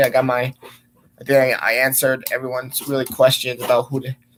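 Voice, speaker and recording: With a slight Polish accent, a man talks at a fairly quick pace and a fairly high pitch. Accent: slight Polish accent on some words. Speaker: sports vlogger. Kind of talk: casual vlog sports talk. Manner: hesitant, many fillers.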